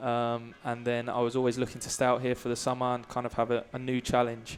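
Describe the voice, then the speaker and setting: Monotone, flat intonation in an English accent at a very fast pace. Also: man, medium pitch for a man. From England, Brighton. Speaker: college soccer player. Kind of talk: halftime interview. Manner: hesitant, many fillers.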